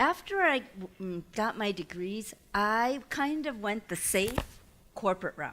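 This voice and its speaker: A woman talks at a fairly slow pace in a fairly high pitch. Her tone is bright and sharp, and her intonation is lively. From Taiwan-born immigrant family, raised in US. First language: not English (English is her third language). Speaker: entrepreneur and guest lecturer. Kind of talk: lecture. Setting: lecture hall with audience. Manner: conversational, audience-engaging.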